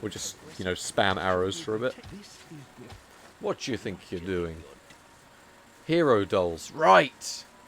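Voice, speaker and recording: Speaking in a southern English accent, a man with a very deep, low pitch uses lively intonation and leaves long, frequent pauses. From southern England. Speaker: video game speedrunner and streamer. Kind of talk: casual live-stream chat while gaming. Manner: hesitant, repeats words.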